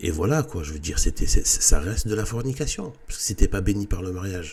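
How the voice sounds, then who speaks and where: A man talks with lively intonation. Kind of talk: casual monologue. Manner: halting.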